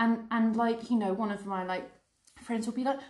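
In an English accent, a woman speaks at a fairly high pitch. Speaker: podcast co-host. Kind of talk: casual chat.

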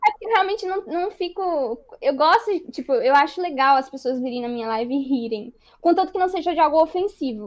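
At a fairly quick pace, a woman speaks in a high pitch that swings very widely. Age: 20s. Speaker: streamer and computer science student. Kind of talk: casual interview chat.

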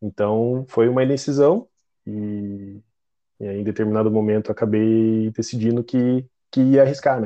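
Speaking at a moderate pace, the man has a medium pitch and fairly even intonation. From Curitiba, southern Brazil. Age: 30s. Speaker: health service client. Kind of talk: podcast interview. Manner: halting, many repetitions.

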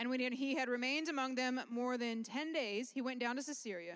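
The woman's pitch is high and varies in an ordinary way. She keeps a moderate pace. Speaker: interpreter. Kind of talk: consecutive interpretation of a sermon into English. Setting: church.

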